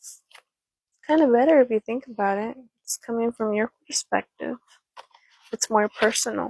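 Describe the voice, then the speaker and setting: A soft-spoken woman talks at a moderate pace with long, frequent pauses and big swings in loudness. The sound is dry and close, with no echo. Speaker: ASMR storyteller. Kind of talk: casual talk to camera.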